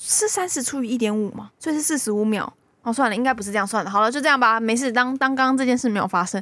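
At a very fast pace, a woman speaks in a high pitch with ordinary pitch variation. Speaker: podcast co-host. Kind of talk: casual chat. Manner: laughs a lot.

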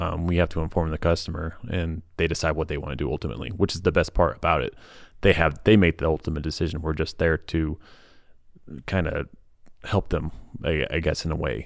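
Speaking at a fairly quick pace, a man with a very deep, low pitch and vocal fry keeps his intonation fairly even on a very clean recording with a silent background. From Missouri, Kansas City area. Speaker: HVAC technician. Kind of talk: casual interview. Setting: studio.

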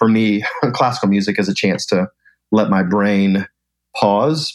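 The speaker is a man with a fairly low pitch and fairly even intonation. It is an unremarkable speaking voice. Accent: American. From US South, Atlanta. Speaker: event company founder and speaker. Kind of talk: interview conversation.

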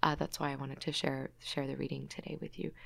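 A woman speaks with an Australian accent. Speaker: poet and human rights advocate. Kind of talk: interview; poetry reading. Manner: halting, many fillers.

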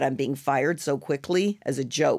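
Lively intonation from a woman at a moderate pace. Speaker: actress. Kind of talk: casual interview chat. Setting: studio.

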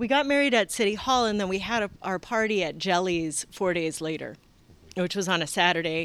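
A woman in an American accent speaks at a medium pitch and fairly quick pace with lively intonation, on a very clean recording with a silent background. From San Francisco, US. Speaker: author. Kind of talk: interview. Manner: hesitant, many fillers.

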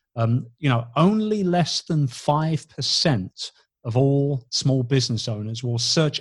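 A man speaks at a fairly slow pace with ordinary pitch variation. His voice sounds somewhat breathy. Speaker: business coach and radio host. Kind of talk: casual interview chat.

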